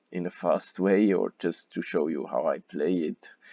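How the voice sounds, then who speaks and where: A man speaks fairly slowly in a German accent. The sound is dry and close, with no echo. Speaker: gaming youtuber. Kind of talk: gameplay commentary. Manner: halting, many fillers.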